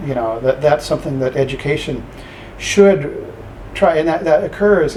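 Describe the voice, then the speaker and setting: A fairly high male voice at a fairly quick pace, with ordinary pitch variation, over noticeable background noise. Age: 60s. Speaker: professor. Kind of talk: interview. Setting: office. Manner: halting.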